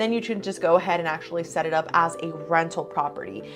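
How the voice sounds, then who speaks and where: A woman's fairly quick pace comes through noticeable background noise. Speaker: real estate agent. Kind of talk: informational talk to camera. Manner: fast.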